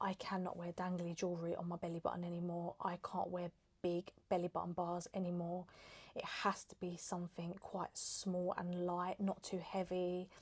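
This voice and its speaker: Soft-spoken and somewhat breathy, a woman talks in an English accent at a fairly low pitch. Her intonation is monotone and flat, and her pace is moderate. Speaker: lifestyle vlogger. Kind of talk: casual chat.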